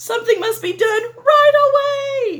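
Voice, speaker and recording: Using a squeaky, put-on character voice, a woman speaks at an extremely high pitch and a fairly slow pace. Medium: read story.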